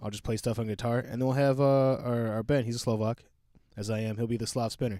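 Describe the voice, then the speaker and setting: On a very clean recording with a silent background, a man with a dark, mellow tone talks very fast at medium pitch and fairly even intonation. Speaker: metal band member and podcast co-host. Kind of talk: casual chat.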